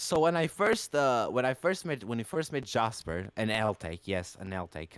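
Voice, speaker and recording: Dry and close with no echo, a man's medium-pitched voice swings very widely in pitch. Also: moderate pace. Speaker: podcast host. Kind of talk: casual chat. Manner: animated.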